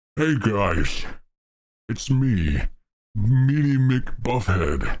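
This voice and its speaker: A man's put-on character voice, medium in pitch and lively in intonation, at a very slow pace. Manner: exaggerated masculine.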